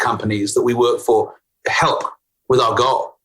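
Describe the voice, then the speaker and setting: A man speaks with a British accent. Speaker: CEO and talent consultant. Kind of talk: podcast interview answer.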